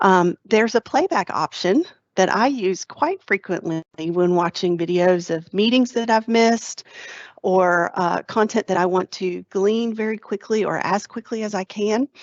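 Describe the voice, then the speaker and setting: A woman with a Southern US accent talks at a fairly slow pace, medium in pitch with ordinary pitch variation. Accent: Southern drawl. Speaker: tech trainer hosting webinar. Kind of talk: webinar presentation.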